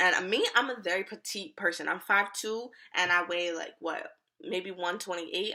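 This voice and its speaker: Animated and bright, with a sharp tone, a woman speaks at a medium pitch and a moderate pace, with ordinary pitch variation. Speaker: YouTuber. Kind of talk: storytime vlog.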